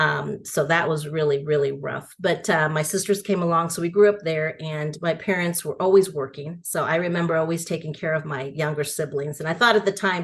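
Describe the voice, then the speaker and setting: A woman with a Spanish accent and a fairly low pitch, at a fairly quick pace with hardly any pauses, fairly even intonation, and noticeable background noise. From San Francisco and suburban Texas. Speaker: education nonprofit founder. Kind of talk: interview. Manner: conversational.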